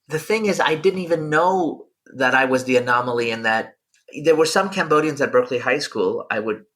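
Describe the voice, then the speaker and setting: An unremarkable speaking voice from a man with an American accent, fairly high in pitch, lively in intonation and fairly quick in pace. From France, then Oakland, California. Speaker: academic and writer. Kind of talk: interview. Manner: casual, with frequent repetitions and false starts.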